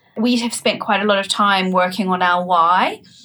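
A woman's bright, sharp tone carries fairly even intonation at a moderate pace. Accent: New Zealand. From New Zealand. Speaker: startup founder and CEO. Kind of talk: interview.

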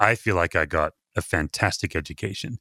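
A man with an Australian accent speaks at a moderate pace in a very clean recording with a silent background and a dry, close sound with no echo. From Perth, Western Australia. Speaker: pastor and author. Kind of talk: casual interview chat.

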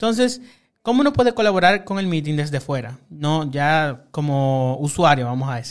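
A man with a fairly high pitch speaks at a moderate pace, his voice making very wide pitch swings. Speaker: podcast host. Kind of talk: casual interview. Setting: studio.

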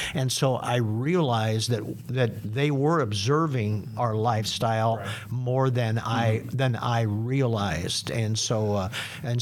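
At a medium pitch, a man speaks in a plain, everyday voice. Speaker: senior pastor. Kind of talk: casual panel discussion. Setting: studio.

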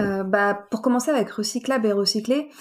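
Fairly even intonation runs through an unremarkable speaking voice. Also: woman. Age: 20s. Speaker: engineer. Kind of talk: interview.

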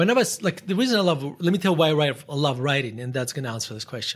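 A man's fairly high voice with a Russian accent and lively intonation. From northern Russia. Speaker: investor and author. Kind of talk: casual interview conversation. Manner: halting, with frequent fillers and restarts.

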